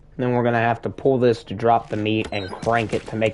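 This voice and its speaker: With noticeable background noise behind him, a man in a Southern US accent talks fairly quickly at a fairly low pitch. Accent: Southern US, says 'acrost'. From US South. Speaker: gaming streamer. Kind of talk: live gameplay commentary. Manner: casual, conversational.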